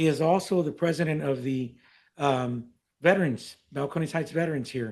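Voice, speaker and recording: A man with an American accent has a normal speaking voice and a fairly high pitch. He talks at a moderate pace with ordinary pitch variation. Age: 60s. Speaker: mayor chairing council. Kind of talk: council meeting chairing. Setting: city council meeting. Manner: formal.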